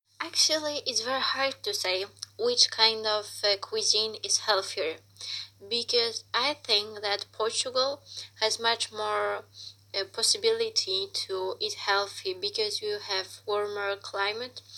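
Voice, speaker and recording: With a Polish accent, a woman speaks at a fairly slow pace. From Poland. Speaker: exchange student. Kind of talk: interview. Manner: halting.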